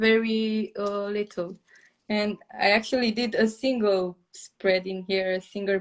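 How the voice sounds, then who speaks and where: A woman with a Romanian accent, flat and monotone at a fairly slow pace, against a quiet background. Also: medium pitch for a woman. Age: 20s. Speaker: journaling content creator. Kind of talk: casual chat. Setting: live stream video call. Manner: halting, many fillers.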